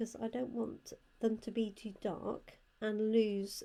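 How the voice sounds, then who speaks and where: A woman with a British accent speaks quietly at a very slow pace. Her fairly high voice has a dark, mellow tone and a monotone, flat intonation. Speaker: card-making crafter and product demonstrator. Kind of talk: crafting tutorial.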